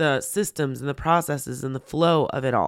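A woman at a fairly slow pace, on a very clean recording with a silent background. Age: 40s. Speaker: podcast host and pet-business consultant. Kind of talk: solo podcast monologue. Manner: casual, filler-heavy.

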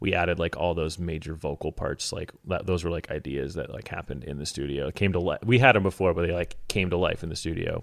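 A man's very deep, low pitch at a very fast pace with hardly any pauses, in a very clean recording with a silent background. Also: ordinary pitch variation. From Alaska. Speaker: band bassist. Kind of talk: casual chat.

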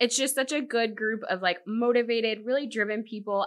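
This woman has an unremarkable speaking voice with an American accent. Her pitch is fairly high and her pace fairly quick. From Virginia Beach, Virginia. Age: 30s. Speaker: home builder sales manager. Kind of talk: casual interview.

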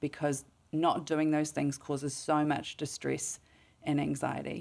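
A woman speaks in a New Zealand accent at a moderate pace, her pitch very deep and low with vocal fry. The recording is very clean with a silent background. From New Zealand, Mount Maunganui. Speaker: clinical psychologist. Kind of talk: interview.

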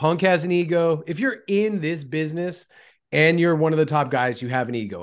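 The pace is moderate and the pitch variation ordinary. It is a man with an unremarkable speaking voice. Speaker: wrestling podcast co-host. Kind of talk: casual chat.

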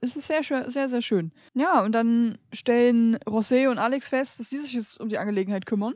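A woman's high pitch with ordinary variation, at a moderate pace. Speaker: trash film podcast co-host. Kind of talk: casual chat. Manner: soft-spoken. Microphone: too quiet, turned up.

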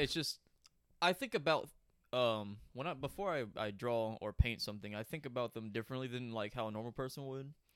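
An unremarkable speaking voice from a man, medium in pitch, with ordinary pitch variation and a fairly quick pace. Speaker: artist, host's brother. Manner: joking, crude humor.

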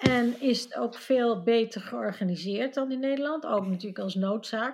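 Ordinary pitch variation marks the woman's fairly high-pitched speech. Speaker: Dutch expat panelist. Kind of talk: casual chat.

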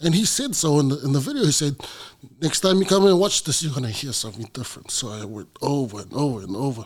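Delivered at a very fast pace, the voice makes very wide pitch swings and big swings in loudness. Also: man. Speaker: professional wrestler. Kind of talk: casual interview chat.

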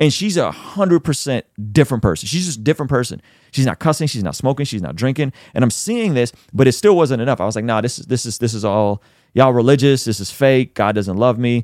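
The speech is very fast, with an animated tone and lively intonation. The recording is very clean with a silent background and a dry, close sound with no echo. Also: man, medium pitch for a man. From Azerbaijan, Baku; moved to US at six. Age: 30s. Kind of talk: testimony. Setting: studio.

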